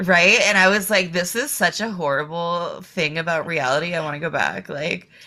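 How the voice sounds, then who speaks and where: A woman with an American accent speaks at a moderate pace in a fairly low pitch, using a normal speaking voice. Her pitch variation is ordinary, with hardly any pauses. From eastern Massachusetts, Boston area. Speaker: adult film performer and filmmaker. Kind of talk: casual chat.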